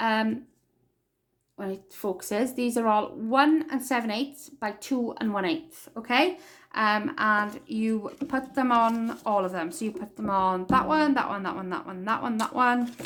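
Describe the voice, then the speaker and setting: In a Welsh accent, a woman speaks at a fairly slow pace and a fairly high pitch on a very clean recording with a silent background. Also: ordinary pitch variation. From Wales. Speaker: crafting tutorial maker. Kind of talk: tutorial.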